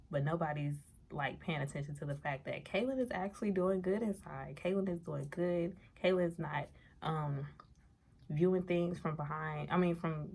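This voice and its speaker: Soft-spoken and somewhat breathy, a woman with a very deep, low pitch speaks with ordinary pitch variation. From New Orleans, Louisiana. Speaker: vlogger. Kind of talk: casual vlog monologue. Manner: quiet, low volume.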